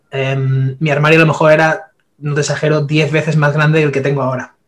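A man speaks at a very fast pace, somewhat breathy and fairly high in pitch. His intonation is monotone and flat. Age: 30s. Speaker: nutrition and fitness expert. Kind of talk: interview. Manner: halting.

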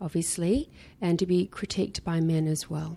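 A woman with an Australian accent speaks at a moderate pace in a dark, mellow tone. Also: very clean recording, silent background. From Australia, Sydney. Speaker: Bible college dean. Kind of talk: casual interview.

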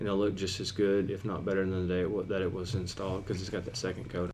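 A man talks fast in a low pitch, with monotone, flat intonation and a slightly mellow tone.

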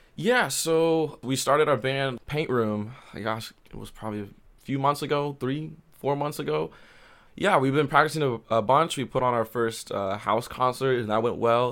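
In an American accent, a man speaks at a moderate pace with medium pitch and ordinary pitch variation. The recording is very clean, with a silent background. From US Midwest, Columbia, Missouri. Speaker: college student. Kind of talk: interview. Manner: halting, many fillers.

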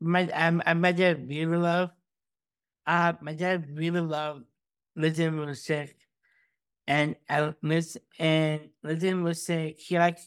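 A man talks at a fairly slow pace with long, frequent pauses. His pitch is fairly high and his intonation monotone and flat. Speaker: business owner with Down syndrome. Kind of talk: interview. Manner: halting.

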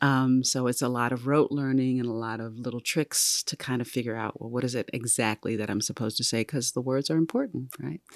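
A woman's very deep, low voice at a fairly quick pace, fairly even in intonation with hardly any pauses, in a dry, close sound with no echo. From Baltimore. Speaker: stage actor and singer. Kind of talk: interview.

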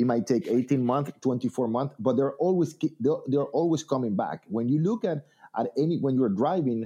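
Speaking with a Spanish accent, a man uses a medium pitch and a dark, mellow tone at a moderate pace. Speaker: real estate trainer and speaker. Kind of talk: interview, conversational. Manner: friendly, conversational, some hesitation with fillers.

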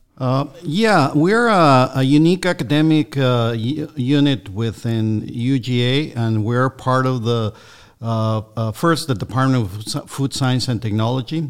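A man with a Spanish accent speaks at a fairly slow pace in a medium pitch with ordinary pitch variation, recorded very cleanly against a silent background. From Mexico. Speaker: food safety center director. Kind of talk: radio interview. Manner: halting, many fillers.

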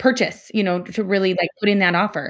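A woman's plain, everyday voice at a medium pitch, with an American accent, fairly even intonation and a quiet background. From Utah. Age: 40s. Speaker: home staging business owner. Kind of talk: podcast interview.

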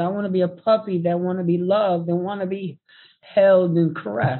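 Speaking fairly quickly, a woman in an unremarkable speaking voice keeps a medium pitch and ordinary pitch variation. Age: 40s. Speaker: parent advocate. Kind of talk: panel discussion.

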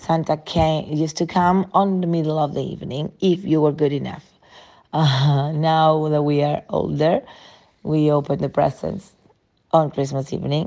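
A woman with a Spanish accent speaks at a moderate pace in a very deep, low voice with a dark, mellow tone and fairly even intonation, against a quiet background. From Uruguay, near Montevideo. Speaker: sommelier, wine bar owner. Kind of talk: prepared monologue.

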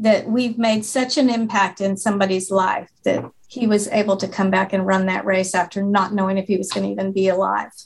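A woman with an American accent, somewhat breathy, at a fairly quick pace and with fairly even intonation. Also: medium pitch for a woman. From Montana. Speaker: marathon director. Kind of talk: interview.

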